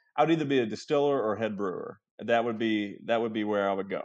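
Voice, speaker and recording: Man in a Southern US accent, medium pitch, ordinary pitch variation, very fast pace. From Kentucky. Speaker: real estate appraiser and realtor. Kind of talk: casual interview chat.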